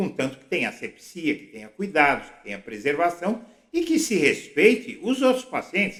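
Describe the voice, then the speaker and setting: A man with a high voice speaks with very wide pitch swings and big swings in loudness. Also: moderate pace. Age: 60s. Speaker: political blogger. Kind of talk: political commentary monologue.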